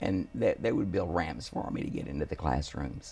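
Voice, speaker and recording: A man's voice moves at a moderate pace while noticeable background noise runs underneath. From Houston, Texas. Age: 70s. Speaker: family attorney. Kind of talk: interview.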